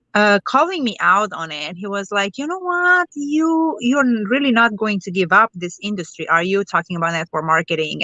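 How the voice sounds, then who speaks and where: A woman with a Romanian accent speaks at a moderate pace. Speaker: network marketer. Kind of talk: interview.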